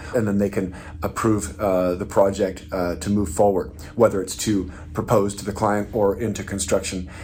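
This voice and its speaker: Over noticeable background noise, a man talks at a moderate pace with a fairly low pitch and fairly even intonation. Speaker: software company executive. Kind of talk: company video update. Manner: hesitant, many fillers.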